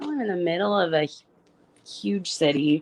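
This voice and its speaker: A woman with an Arkansas accent, in a dry, close sound with no echo. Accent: Arkansas country. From northwest Arkansas (Springdale). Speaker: guest. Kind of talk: casual chat.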